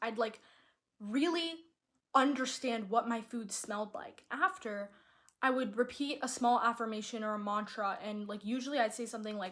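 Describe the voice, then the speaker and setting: A woman's high, animated voice with ordinary pitch variation. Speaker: lifestyle vlogger. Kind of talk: casual monologue. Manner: fast.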